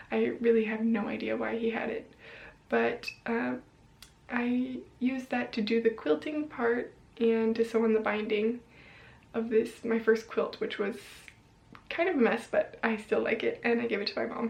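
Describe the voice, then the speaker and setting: This woman has a fairly high pitch, an American accent and vocal fry, speaking at a moderate pace with long, frequent pauses and fairly even intonation. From US, Colorado (Boulder). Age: 20s. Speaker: sewing vlogger. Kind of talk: casual vlog talk. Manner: hesitant, many fillers.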